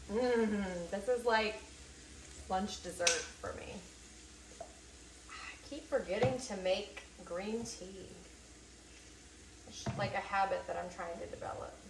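A woman's very slow speech with long, frequent pauses, ordinary pitch variation, big swings in loudness and noticeable background noise. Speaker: home cook vlogger. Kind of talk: casual vlog chat. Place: kitchen.

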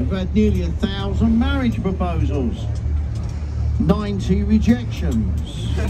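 Music plays in the background. A man speaks at a fairly slow pace. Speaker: boat tour guide. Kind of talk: live tour commentary with jokes. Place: boat.

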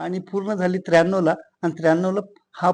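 A man's voice with a high pitch. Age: 60s. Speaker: master handloom weaver. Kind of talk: interview.

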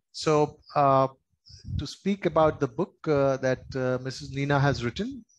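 The man's pitch varies in an ordinary way as his words come at a fairly slow pace. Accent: Indian. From India. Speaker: doctor, guest speaker. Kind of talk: speech at book launch. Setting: live event with audience. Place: office. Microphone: video call.

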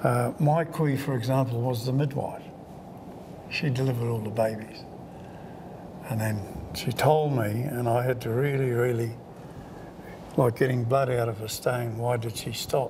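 At a moderate pace, a man with a medium-pitched voice speaks with fairly even intonation and long, frequent pauses over noticeable background noise. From New Zealand, Taranaki; New Zealand. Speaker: Maori elder; interviewee. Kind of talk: oral history interview. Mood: warm, calm. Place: home room.

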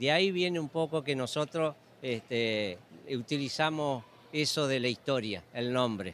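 In an Argentine Litoral accent, a man speaks at a fairly slow pace with a dry sound with no echo and light background noise. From Argentina, Entre Ríos; Argentina. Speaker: sheep breeder. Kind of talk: interview. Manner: halting, many fillers. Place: hall. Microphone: handheld.

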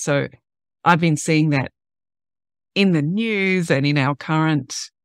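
A woman's very deep, low voice with fairly even intonation, dry with no echo, over a quiet background. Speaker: podcast host. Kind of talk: podcast introduction talk.

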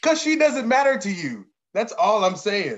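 A man puts on a character voice pitched high, with very wide pitch swings. His tone comes across fairly bright. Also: fairly slow pace.

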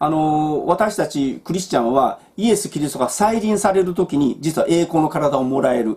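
A man speaks at a moderate pace with a fairly high pitch, lively intonation and hardly any pauses. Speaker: Bible teacher. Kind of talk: Bible study talk. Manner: casual, with many fillers. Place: home room. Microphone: webcam.

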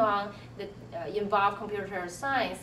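A woman of medium pitch with a Chinese accent, plus audible room echo and light background noise. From Tianjin, China. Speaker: computer science professor. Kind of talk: faculty interview, monologue. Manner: hesitant, many fillers. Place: office.

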